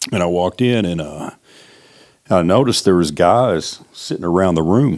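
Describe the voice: At a fairly slow pace, a man talks in a low pitch with lively intonation.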